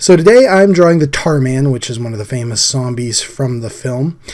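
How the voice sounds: A man at medium pitch speaks at a moderate pace with ordinary pitch variation and a slightly mellow tone.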